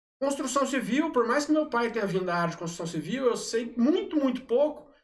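Pitched extremely high, a man talks at a very fast pace. His intonation is lively. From Brazil, Aparecida (Goiás). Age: 30s. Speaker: city councillor. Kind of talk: casual chat.

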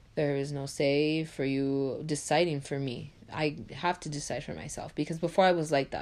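Moderate pace and fairly even intonation, with hardly any pauses, over a quiet background. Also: woman, very deep, low pitch for a woman. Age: 20s. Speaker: podcast host, college student. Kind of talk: solo podcast monologue. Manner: casual, filler-heavy.

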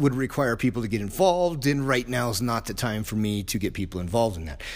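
Lively intonation marks a man's medium-pitched voice at a fairly quick pace. The recording is very clean, with a silent background. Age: 50s. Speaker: martial arts coach and gym owner. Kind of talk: solo podcast monologue. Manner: casual, hesitant with fillers.

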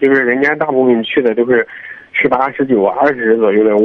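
Noticeable background noise surrounds this recording. A man speaks at medium pitch with fairly even intonation. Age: 20s. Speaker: university student caller. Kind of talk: phone-in advice call.

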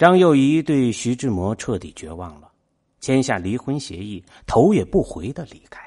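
Against a quiet background, a man with a dark, mellow tone and medium pitch speaks with very wide pitch swings and big swings in loudness. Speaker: podcast host reading essays. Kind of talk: scripted narration. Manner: slow.

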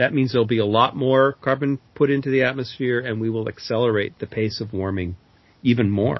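In an American accent, a man with an ordinary speaking voice talks at a medium pitch with ordinary pitch variation. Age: 60s. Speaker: climate author and speaker. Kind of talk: interview.

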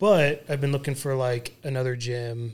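A normal speaking voice from a man, moderate in pace and fairly high in pitch. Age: 30s. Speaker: podcast co-host, former football player. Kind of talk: casual chat.

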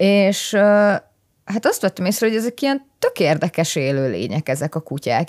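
Heard in a dry, close sound with no echo on a very clean recording with a silent background, a woman uses vocal fry, lively intonation, a moderate pace and medium pitch. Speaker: biology PhD student. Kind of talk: casual chat.

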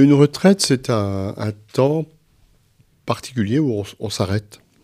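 With a dark, mellow tone and lively intonation, a man speaks at a very slow pace. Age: 60s. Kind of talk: interview. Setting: library. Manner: halting.

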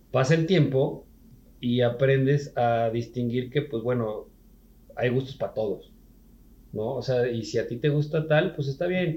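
In a Mexican accent, a somewhat breathy voice with a dark, mellow tone moves at a fairly slow pace with ordinary pitch variation and long, frequent pauses. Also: man, medium pitch for a man. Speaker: podcast host. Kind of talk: casual chat.

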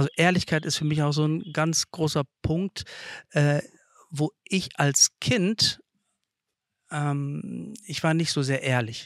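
This man's pitch is fairly high, with ordinary variation, and he speaks at a very slow pace with long, frequent pauses. The recording is very clean, with a silent background and a dry, close sound with no echo. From Kazakhstan, Russian-German family, Germany from age seven. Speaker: site manager, interview guest. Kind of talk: casual interview. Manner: halting, many fillers.

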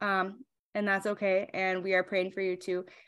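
A woman talks at a fairly quick pace with fairly even intonation, her pitch medium and an ordinary speaking voice. The recording is very clean with a silent background. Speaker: podcast host. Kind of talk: casual interview chat.

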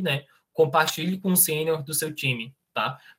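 A man with a high-pitched voice. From Brazil, Goiás (Niquelândia). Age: 20s. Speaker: software tech lead. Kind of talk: online presentation with Q&A.

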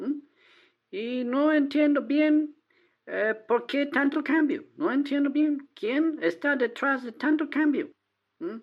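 A woman at a high pitch with ordinary pitch variation and a very slow pace. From Texas, small town. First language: English (speaking Spanish). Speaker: caller, adult-school teacher. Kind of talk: casual chat. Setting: phone call. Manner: halting, hesitant non-native Spanish.

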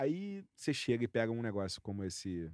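In an unremarkable speaking voice, a man talks at a moderate pace and a fairly low pitch, with a dry, close sound with no echo. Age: 40s. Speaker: podcast co-host. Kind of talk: casual chat.

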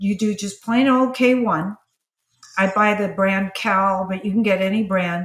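Somewhat breathy, a woman reads at a fairly slow pace with fairly even intonation. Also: medium pitch for a woman. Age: 70s. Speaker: image consultant and stylist. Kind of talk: casual chat.

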